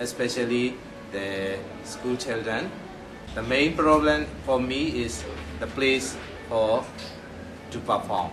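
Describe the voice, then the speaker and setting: A man's medium-pitched voice with lively intonation, a very slow pace, and long, frequent pauses, plus music in the background and audible room echo. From Myanmar. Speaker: puppet theater director. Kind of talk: interview. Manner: halting.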